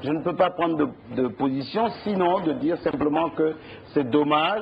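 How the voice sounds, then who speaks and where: A man with a normal speaking voice, fairly high in pitch. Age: 60s. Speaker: politician. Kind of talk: TV interview.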